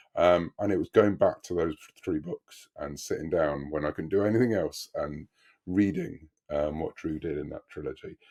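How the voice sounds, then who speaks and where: A man with a British accent talks at a moderate pace, the sound dry and close with no echo. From Britain. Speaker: author. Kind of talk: casual interview.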